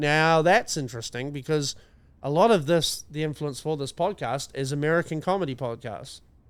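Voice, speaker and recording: With a New Zealand accent, a man speaks at a fairly high pitch. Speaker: comedy podcast co-host. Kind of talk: casual chat.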